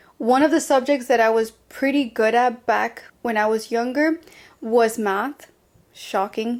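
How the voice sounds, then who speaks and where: Fairly high-pitched, a woman with a Spanish accent speaks with fairly even intonation on a very clean recording with a silent background. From Colombia. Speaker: podcast host. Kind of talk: personal storytelling podcast. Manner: casual, chatty.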